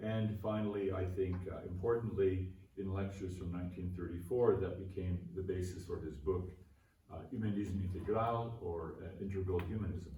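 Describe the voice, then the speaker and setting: Fairly even intonation at a moderate pace with a Canadian accent, plus audible room echo. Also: man, very deep, low pitch for a man. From Canada. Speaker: philosophy professor. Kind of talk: conference keynote lecture. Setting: conference venue with aeroplane noise. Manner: formal.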